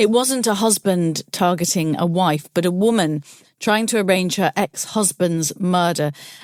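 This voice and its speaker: With a British accent, a woman speaks at medium pitch and a moderate pace, her pitch varying in an ordinary way, in a dry, close recording with no echo. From UK. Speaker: podcast host, journalist. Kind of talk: interview.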